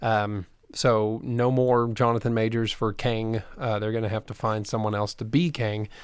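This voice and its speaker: A man speaks at a moderate pace and medium pitch in a normal speaking voice. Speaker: podcast co-host. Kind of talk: casual chat.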